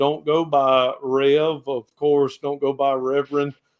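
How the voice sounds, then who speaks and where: In a strong Southern US accent, a man speaks at a very slow pace with a fairly high pitch and monotone, flat intonation. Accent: thick Southern US. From US South, Georgia. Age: 50s. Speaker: pastor and reseller. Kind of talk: casual podcast chat.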